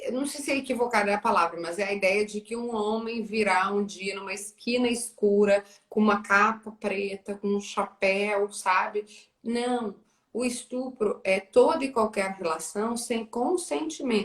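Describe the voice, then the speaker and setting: It is an unremarkable speaking voice, belonging to a woman. She speaks at a fairly slow pace with ordinary pitch variation. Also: fairly high pitch for a woman. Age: 30s. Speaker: journalist. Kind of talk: live interview conversation.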